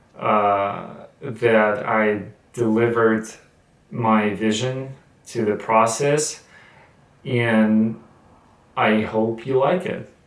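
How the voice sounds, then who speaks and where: The man speaks at a very slow pace with long, frequent pauses and fairly even intonation. His pitch is medium, and the room echo is audible. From Russia. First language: Russian. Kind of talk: casual talk to camera. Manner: halting, with many fillers and repetitions.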